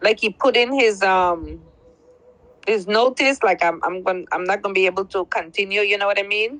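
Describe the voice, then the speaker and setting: In a Belizean accent, a woman speaks at a moderate pace with medium pitch and ordinary pitch variation. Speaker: caller. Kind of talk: testimony.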